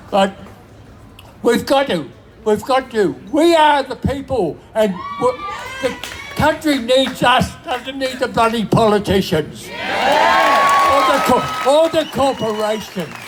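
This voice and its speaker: Someone with an Australian accent speaks at a very slow pace, with long, frequent pauses. Music plays in the background. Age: 90s. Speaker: rally speaker. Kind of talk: protest speech.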